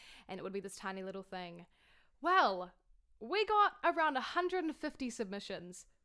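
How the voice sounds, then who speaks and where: Her tone bright and sharp, a woman with a New Zealand accent speaks at a moderate pace with lively intonation. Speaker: online singer and concert host. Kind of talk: casual video introduction. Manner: animated.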